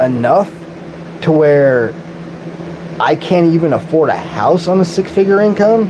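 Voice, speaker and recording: Over noticeable background noise, a man with an American accent talks in an animated tone at a high pitch, with ordinary pitch variation. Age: 40s. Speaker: streamer. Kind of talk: live-stream rant.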